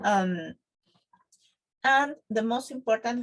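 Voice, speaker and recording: Ordinary pitch variation marks this voice, spoken with a Spanish accent. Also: woman. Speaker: Spanish teacher. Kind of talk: tutorial. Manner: halting, with fillers.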